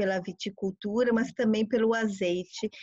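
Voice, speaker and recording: A woman's fairly high, somewhat breathy voice at a fairly slow pace with fairly even intonation. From Brazil. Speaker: tour guide and translator. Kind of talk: informal interview.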